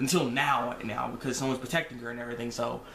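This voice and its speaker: Very fast speech from a man carries audible room echo and noticeable background noise. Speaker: anime reviewer vlogger. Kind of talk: casual review talk. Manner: halting, many repetitions.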